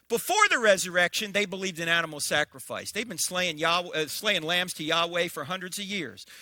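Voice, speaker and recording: A man's high-pitched voice with an American accent, at a fairly quick pace with hardly any pauses, ordinary pitch variation and noticeable background noise. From New Jersey. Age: 60s. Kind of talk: public lecture. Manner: animated.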